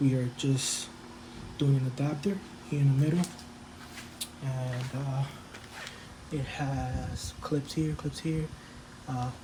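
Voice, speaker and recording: A man mumbles at a fairly slow pace, his pitch fairly high, with long and frequent pauses. Noticeable background noise runs underneath. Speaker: DIY home-improvement vlogger. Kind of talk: casual tutorial. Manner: mumbling; casual with many fillers.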